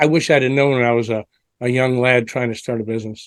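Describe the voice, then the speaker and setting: A man is speaking. The sound is dry and close, with no echo. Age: 60s. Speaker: business coach and entrepreneur. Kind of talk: interview. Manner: halting, repeats words.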